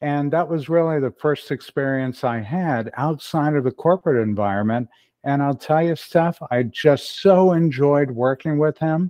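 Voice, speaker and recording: An unremarkable speaking voice from a man, fairly high in pitch, at a moderate pace with hardly any pauses and ordinary pitch variation. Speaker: email marketing consultant. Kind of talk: casual interview.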